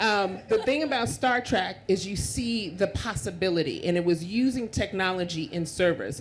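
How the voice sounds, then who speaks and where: This woman has a medium pitch, a somewhat breathy quality and an animated tone. She talks at a moderate pace with lively intonation and hardly any pauses. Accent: American. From Queens, New York. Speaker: panelist at tech conference. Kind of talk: panel discussion. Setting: stage with audience.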